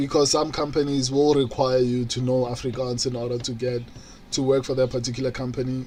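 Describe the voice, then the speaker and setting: A man with a medium-pitched voice talks at a moderate speed while noticeable noise carries on behind him. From South Africa, Pretoria. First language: Setswana. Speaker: streamer. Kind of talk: live stream watch-along chat. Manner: halting.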